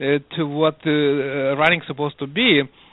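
A man speaks in a fairly high pitch. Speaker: running coach and researcher. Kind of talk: interview. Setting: phone call. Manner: halting.

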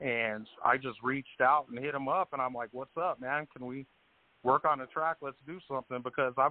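A man with an American accent and an ordinary speaking voice at medium pitch, moderate pace and fairly even intonation. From Colorado. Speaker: music producer. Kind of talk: casual interview.

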